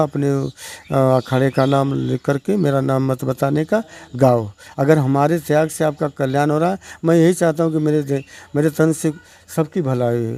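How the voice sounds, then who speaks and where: The voice has a dark, mellow tone and fairly even intonation. The sound is dry and close, with no echo. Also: man. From Varanasi district, Uttar Pradesh, India. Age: 60s. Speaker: folk poet and lyricist. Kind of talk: interview.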